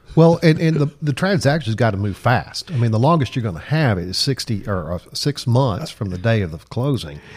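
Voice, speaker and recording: With hardly any pauses, a somewhat breathy man at medium pitch speaks at a moderate pace and makes very wide pitch swings. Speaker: attorney and podcast host. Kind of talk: casual interview.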